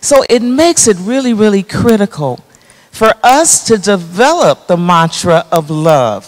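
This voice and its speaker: A woman at a fairly slow pace with very wide pitch swings, over a quiet background. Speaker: psychologist. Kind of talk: panel discussion. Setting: stage with audience. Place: hall. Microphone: handheld.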